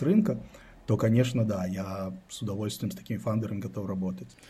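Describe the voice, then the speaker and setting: A man talks at a fairly quick pace in a dark, mellow, somewhat breathy tone. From Israel (born in Belarus, emigrated at 10). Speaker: venture investor and startup adviser. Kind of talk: casual interview chat.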